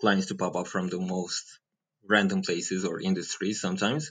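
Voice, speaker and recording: Over a quiet background, a man speaks at a moderate pace with a fairly low pitch. His tone is bright and sharp, with ordinary pitch variation. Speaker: presentation designer, agency owner. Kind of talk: coaching session interview.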